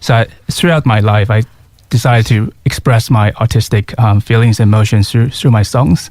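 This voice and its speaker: Fairly quick speech from a man with a fairly low pitch and ordinary pitch variation. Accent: Mandarin. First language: Mandarin. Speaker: singer-songwriter. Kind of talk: radio interview. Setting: radio studio. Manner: halting.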